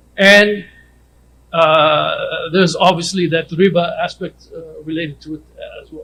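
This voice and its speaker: The speaker is a man whose loudness swings widely. Noticeable background noise sits under his voice. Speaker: conference speaker on Islamic finance. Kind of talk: lecture. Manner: fast.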